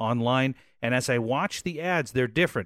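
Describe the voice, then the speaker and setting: A man with an American accent has an ordinary speaking voice at a medium pitch, with lively intonation. The recording is very clean, with a silent background. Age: 50s. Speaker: podcast host. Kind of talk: casual chat.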